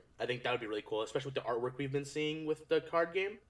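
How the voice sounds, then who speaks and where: A man speaks over noticeable background noise. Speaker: card game YouTuber. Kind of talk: casual commentary video. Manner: fast. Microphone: echo in the video.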